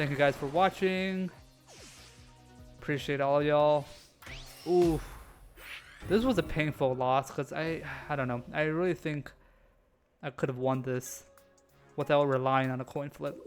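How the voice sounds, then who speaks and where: Over background music, a man with a fairly high voice talks at a fairly slow pace with ordinary pitch variation and long, frequent pauses. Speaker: gaming YouTuber. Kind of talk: gameplay commentary narration. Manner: halting, stumbling over words.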